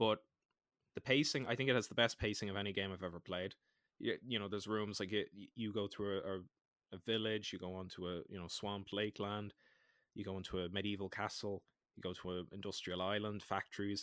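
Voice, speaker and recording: In a dry, close recording with no echo, a man with an Irish accent speaks fairly quickly at a fairly low pitch, his intonation fairly even. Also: very clean recording, silent background. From Ireland. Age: 20s. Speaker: podcast co-host. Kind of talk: casual chat.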